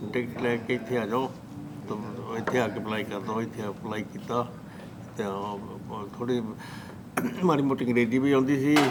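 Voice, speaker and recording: Through noticeable background noise and audible room echo, a man speaks at a medium pitch with fairly even intonation. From Punjab, India (Hoshiarpur district). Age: 70s. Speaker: immigrant farmer. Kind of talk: oral history interview. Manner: soft-spoken; halting. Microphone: too quiet, camera moved closer.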